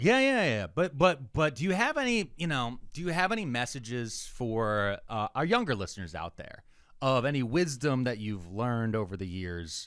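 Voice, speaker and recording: A man with a Philadelphia accent at a moderate pace, very wide swings in pitch, hardly any pauses, on a very clean recording with a silent background. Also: medium pitch for a man. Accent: Philadelphia American. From Philadelphia, US. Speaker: comedian and podcast co-host. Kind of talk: casual chat.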